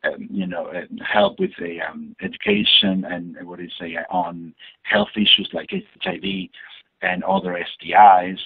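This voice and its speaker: A man speaks with an Argentine accent at a moderate pace. His loudness swings widely. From Argentina, Buenos Aires. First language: Spanish. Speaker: community advocate and education coordinator. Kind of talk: interview answer.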